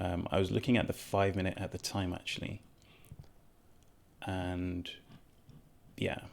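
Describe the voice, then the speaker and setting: With monotone, flat intonation, a man with a very deep, low pitch speaks at a fairly slow pace, leaving long, frequent pauses. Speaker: day trader. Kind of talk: trade review vlog. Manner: shaky voice; hesitant, many fillers.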